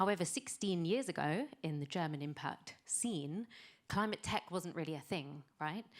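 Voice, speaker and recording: In a British accent, a woman talks with a fairly low pitch. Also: lively intonation, moderate pace. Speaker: venture capital investor. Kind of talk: pitch presentation.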